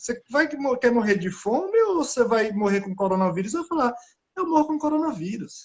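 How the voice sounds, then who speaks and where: Extremely high pitch for a man, with very wide pitch swings, a moderate pace and a northeastern Brazilian accent. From Brazilian Northeast. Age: 30s. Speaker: scientist. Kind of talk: casual chat. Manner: halting.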